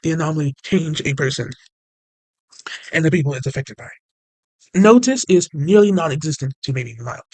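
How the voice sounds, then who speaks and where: A man talks at a medium speed, his pitch rising and falling in an ordinary way. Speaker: channel owner explaining SCP lore. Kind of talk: casual explainer video. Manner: halting.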